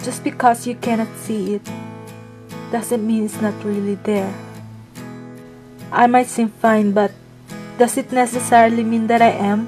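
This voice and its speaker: With a non-native accent, a woman speaks at a fairly high pitch in a monotone, flat intonation, at a fairly slow pace with long, frequent pauses, while music plays in the background. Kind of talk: personal story narration.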